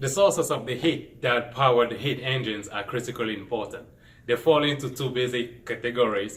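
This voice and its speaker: This man has a medium pitch and a Cameroonian accent. He keeps a moderate pace and fairly even intonation. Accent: Cameroonian accent, non-native English. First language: French. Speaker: engineering student. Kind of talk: scripted presentation.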